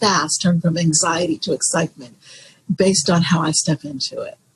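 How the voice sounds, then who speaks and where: A woman speaks in an ordinary speaking voice at a moderate pace. Her pitch sits fairly low, with ordinary pitch variation. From Florida, USA. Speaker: jazz singer. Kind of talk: interview answer.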